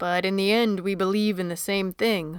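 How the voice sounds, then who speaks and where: On a very clean recording with a silent background, a woman at medium pitch does a put-on character voice at a fairly slow pace. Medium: read story. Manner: calm, gentle.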